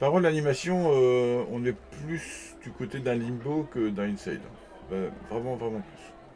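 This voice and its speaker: Noticeable background noise sits behind a man speaking at a medium pitch. He goes at a fairly slow pace with long, frequent pauses and ordinary pitch variation. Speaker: gaming youtuber. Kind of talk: let's play commentary. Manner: hesitant, with fillers; whispering at times.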